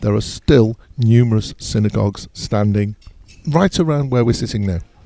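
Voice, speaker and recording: The speaker has a dark, mellow tone and a London accent, with ordinary pitch variation. The pace is moderate and the sound is dry and close with no echo. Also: man. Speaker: podcast host. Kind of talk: casual chat. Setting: outdoors in a courtyard.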